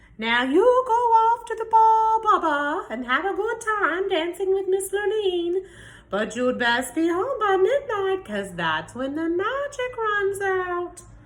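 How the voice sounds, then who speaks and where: A woman uses a put-on character voice at an extremely high pitch. She speaks at a fairly slow pace with hardly any pauses. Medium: read story.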